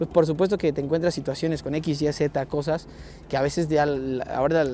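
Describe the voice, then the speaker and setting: A normal speaking voice from a man, fairly high in pitch, at a moderate pace. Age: 30s. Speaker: football coach. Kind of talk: interview.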